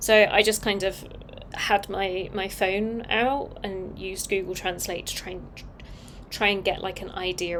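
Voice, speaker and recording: A woman's medium-pitched voice at a moderate pace, fairly even in intonation, with audible room echo. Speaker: designer live-streaming open source work. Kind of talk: casual live-stream talk. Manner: long pauses at ends of sentences; clear pronunciation.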